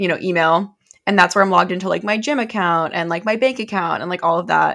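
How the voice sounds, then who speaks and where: On a very clean recording with a silent background, a woman speaks at a medium pitch in a bright, sharp tone with ordinary pitch variation. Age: 20s. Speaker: podcast co-host. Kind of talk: casual chat.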